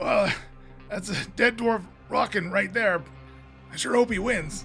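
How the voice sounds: Over clear music in the background, a man puts on a high, croaky character voice and speaks at a fairly slow pace.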